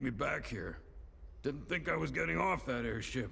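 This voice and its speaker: Putting on a raspy character voice, a man speaks at a moderate pace and medium pitch with very wide pitch swings. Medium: video game. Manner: casual, rambling.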